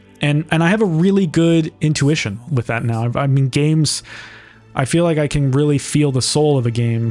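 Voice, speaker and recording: With music in the background, a man's fairly high voice moves at a fairly quick pace, its pitch varying in an ordinary way. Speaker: film director and narrator of his own short. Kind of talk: director's commentary, casual. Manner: casual, many fillers and restarts.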